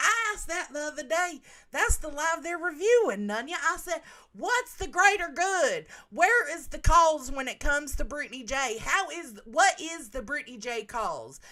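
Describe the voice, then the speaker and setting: Raised and projected, a woman's high, bright, sharp voice moves at a moderate pace with very wide pitch swings and big swings in loudness. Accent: Southern US. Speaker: livestreamer. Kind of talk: casual livestream chat. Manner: animated.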